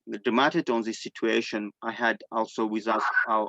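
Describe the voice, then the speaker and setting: Monotone, flat intonation comes with an Armenian accent, the sound dry and close with no echo. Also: man. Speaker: displaced person sharing testimony. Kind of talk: testimony. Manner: halting.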